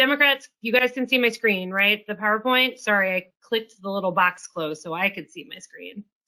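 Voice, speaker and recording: Bright, sharp and fairly high, a woman's voice moves at a fairly quick pace with hardly any pauses, ordinary pitch variation and big swings in loudness. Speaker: policy executive of a federal employees association. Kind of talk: online presentation. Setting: video conference.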